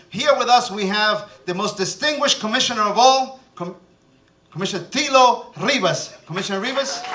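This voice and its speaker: Over noticeable background noise and audible room echo, a man with a high pitch uses a raised, projected voice, lively intonation and a fairly quick pace. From born in Cuba, raised in New Jersey. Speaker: TV show host and city commissioner. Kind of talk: reading a guest bio aloud; stage emcee remarks with jokes. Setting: stage with audience at festival ceremony. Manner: animated, joking.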